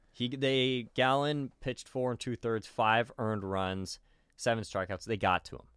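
The very clean recording has a silent background. In it, a man talks at a moderate pace and a medium pitch with ordinary pitch variation. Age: 20s. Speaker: sports podcast co-host. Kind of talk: casual chat. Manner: animated.

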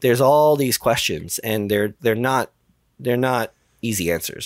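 In an ordinary speaking voice with an American accent, a man speaks at a moderate pace with lively intonation, the recording very clean with a silent background and a dry, close sound with no echo. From New York, the Bronx. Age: 40s. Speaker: mission control director at a space software company. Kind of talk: podcast interview.

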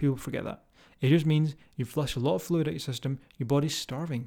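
A man's fairly high voice with a dark, mellow tone at a fairly quick pace, on a very clean recording over a silent background. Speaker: fitness coach and podcast host. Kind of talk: solo podcast monologue. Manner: rambling, filler-heavy; animated, emphatic.

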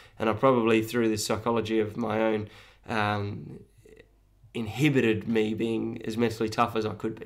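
A man of medium pitch with an Australian accent, monotone, flat intonation and a moderate pace. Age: 30s. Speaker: running coach. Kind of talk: casual interview. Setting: home studio.

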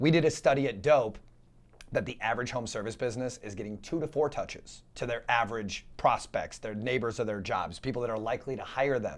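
A man with an unremarkable speaking voice talks at a fairly quick pace. His pitch is medium and varies in an ordinary way. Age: 30s. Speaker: marketing company founder. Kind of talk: casual interview.

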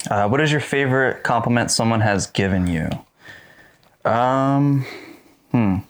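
A man speaks at a medium pitch and a fairly slow pace, with very even loudness, ordinary pitch variation, and long, frequent pauses. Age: 20s. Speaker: podcast co-host. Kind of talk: casual chat.

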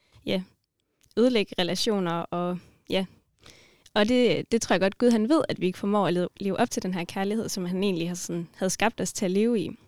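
A woman's medium-pitched voice at a moderate pace, fairly even in intonation, dry and close with no echo, in a very clean recording with a silent background. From Denmark, Grenaa area. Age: 20s. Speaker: student and mission organisation worker. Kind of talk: casual chat about faith.

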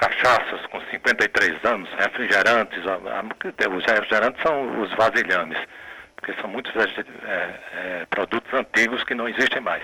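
Amid noticeable background noise, a man talks at a medium pitch. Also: ordinary pitch variation. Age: 60s. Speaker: poet. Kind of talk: radio interview. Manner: halting.

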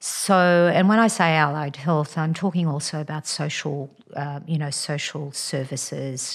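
At a fairly slow pace and with hardly any pauses, a speaker in an Australian accent keeps a fairly even intonation on a very clean recording with a silent background. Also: woman, very deep, low pitch for a woman. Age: 60s. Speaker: general practitioner. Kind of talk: interview, personal story. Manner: hesitant, many fillers.

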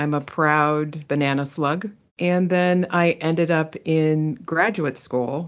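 The voice carries an American accent. The background is quiet. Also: woman. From Pittsburgh, Pennsylvania, US. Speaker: digital asset manager. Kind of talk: interview testimony.

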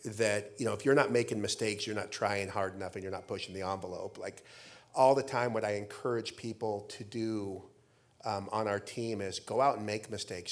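A man's unremarkable speaking voice, medium pitch, with an American accent, fairly quick and fairly even in intonation, in a very clean recording with a silent background. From Idaho, US. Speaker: real estate company CEO. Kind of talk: on-stage interview. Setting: stage with audience. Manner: repetitive false starts.

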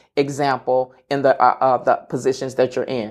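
A moderate pace in a very clean recording with a silent background. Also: woman. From Kentucky, Lexington. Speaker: healthcare manager. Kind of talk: interview.

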